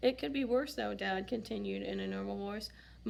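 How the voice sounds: This is a natural reading voice. It carries the text aloud.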